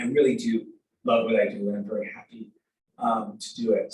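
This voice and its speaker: A man uses a put-on character voice that is raspy and fairly high-pitched. He speaks at a fairly quick pace. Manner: tired.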